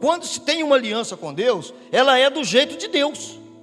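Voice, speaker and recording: A man speaks with music in the background. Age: 60s. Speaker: pastor. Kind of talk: sermon. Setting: church.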